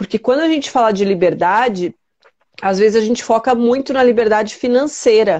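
A woman's plain, everyday voice, fairly high in pitch and at a fairly quick pace, over a quiet background. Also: ordinary pitch variation, very even loudness. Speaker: life coach. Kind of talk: casual chat. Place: home room. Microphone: connection freezing; earbuds.

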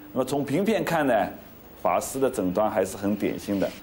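Light background noise sits behind a man speaking with a Shanghainese accent. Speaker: cardiac surgeon. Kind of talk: doctor talking to patient family. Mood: calm, gentle, explanatory.

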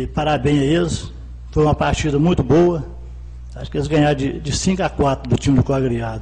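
A man in a Minas Gerais accent at a moderate pace, over light background noise. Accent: Minas Gerais Brazilian Portuguese. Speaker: city councillor. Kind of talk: council debate speech. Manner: colloquial, halting. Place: hall. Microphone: podium.

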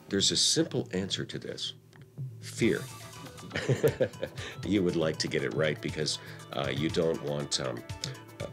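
A man at a moderate pace with ordinary pitch variation, clear music in the background. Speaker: horse race caller. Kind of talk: interview answer. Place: hall.

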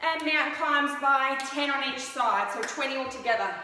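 A woman speaks in a raised, projected voice at a moderate pace. Audible room echo surrounds her. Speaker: fitness instructor. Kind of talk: workout instruction. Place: home room. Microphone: camera far.

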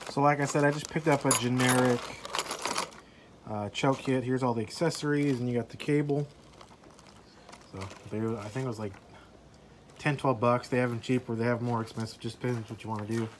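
A fairly quick pace over light background noise. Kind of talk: tutorial. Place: street. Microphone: phone near.

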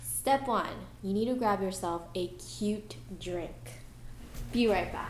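There is audible room echo and light background noise as a woman talks at a very slow pace with long, frequent pauses. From Japanese American. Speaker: handywoman. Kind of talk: casual talk to camera. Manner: playful. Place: home room. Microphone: webcam.

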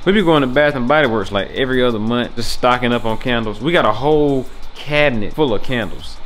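Music plays in the background as a man talks very fast with ordinary pitch variation. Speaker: vlogger. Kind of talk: casual vlog chat. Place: home room. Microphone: phone near.

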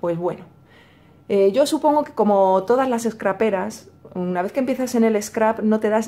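Spoken at a moderate pace in a Madrid accent, the voice has a dark, mellow tone and ordinary pitch variation. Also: woman. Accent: Madrid Spanish (Castilian). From Madrid, Spain. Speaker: YouTuber, crafts channel. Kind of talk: casual vlog / tutorial. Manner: hesitant, many fillers and repetitions.

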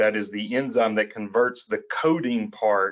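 The speaker is a man with an Appalachian accent. He talks at a moderate pace. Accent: Appalachian Southern US. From Eastern Kentucky, Appalachia. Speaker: attorney, co-host. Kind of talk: conversational podcast discussion.

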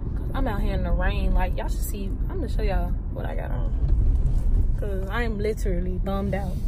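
Over loud background noise, a woman talks at a very fast pace, the sound dry with no echo. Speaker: vlogger. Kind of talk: casual vlog chat. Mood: bummed, complaining. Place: car. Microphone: phone near.

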